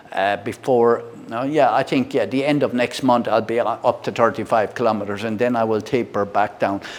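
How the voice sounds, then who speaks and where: Barely pausing, a man talks at a fairly quick pace and a medium pitch with fairly even intonation. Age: 60s. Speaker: product reviewer. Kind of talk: casual product review and demo. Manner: halting, many fillers and repeats.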